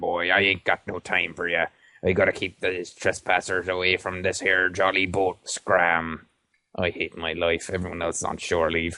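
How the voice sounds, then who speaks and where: A man uses a put-on character voice that is gruff and very deep. He delivers it at a moderate pace. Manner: grumbling, complaining.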